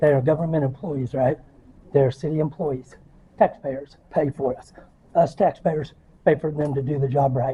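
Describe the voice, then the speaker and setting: A man with an American accent talks at a moderate pace, leaving long, frequent pauses. His voice is somewhat breathy, with a dark, mellow tone. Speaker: citizen journalist filming public officials. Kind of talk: heated argument with police officer. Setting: inside a public government building. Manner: animated, gestures while talking.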